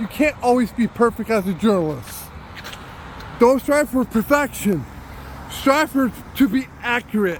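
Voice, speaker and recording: Loud and fairly slow, the voice pauses long and often over noticeable background noise. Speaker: citizen journalist. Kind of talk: walking vlog monologue.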